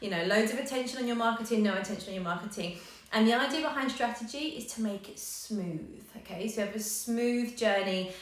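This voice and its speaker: The speech moves at a fairly quick pace with ordinary pitch variation, accompanied by noticeable background noise and audible room echo. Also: woman. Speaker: yoga business coach. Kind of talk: live coaching session. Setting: live stream. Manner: fast.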